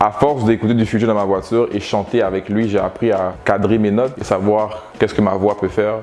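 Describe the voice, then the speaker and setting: With music in the background, the speaker goes at a fairly quick pace with hardly any pauses, monotone, flat intonation and very even loudness. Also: man, fairly low pitch for a man. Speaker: rapper. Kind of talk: interview. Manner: articulate.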